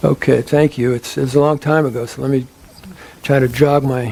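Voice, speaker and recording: A man's medium-pitched voice stays monotone and flat at a moderate pace. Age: 70s. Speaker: psychologist and psychedelic speaker. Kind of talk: lecture Q&A answer. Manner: halting, many repetitions.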